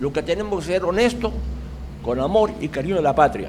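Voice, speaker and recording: Through noticeable background noise and audible room echo, a man with a high pitch speaks at a moderate pace. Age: 80s+. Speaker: audience member asking questions. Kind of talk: Q&A comments after a lecture.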